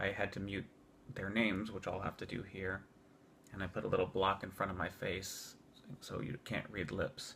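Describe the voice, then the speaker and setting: A man's fairly low voice, bright and sharp in tone, with fairly even intonation. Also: moderate pace. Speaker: phone bank volunteer. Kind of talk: casual talk to camera. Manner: stuttering, hesitant.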